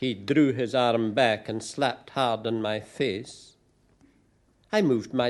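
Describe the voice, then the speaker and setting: A man with a Scottish accent speaks at medium pitch and a fairly slow pace over a quiet background. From Glasgow, Scotland. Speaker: poet. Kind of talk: live spoken-word story reading.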